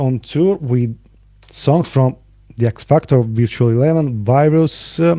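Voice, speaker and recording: A man's dark, mellow voice at medium pitch, with ordinary pitch variation. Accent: Italian. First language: Italian. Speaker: podcast host. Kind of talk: interview.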